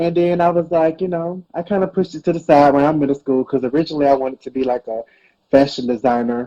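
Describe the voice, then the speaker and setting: A man talks at a very fast pace with an American accent and fairly high pitch. His tone is dark and mellow with ordinary pitch variation, and the sound is dry and close with no echo. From US South, Georgia. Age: 20s. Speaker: hairstylist and online creator. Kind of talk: interview.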